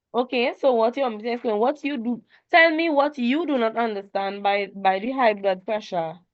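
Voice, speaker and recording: A plain, everyday voice with lively intonation. The pace is moderate. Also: woman, fairly high pitch for a woman. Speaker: tutor. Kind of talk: online tutorial.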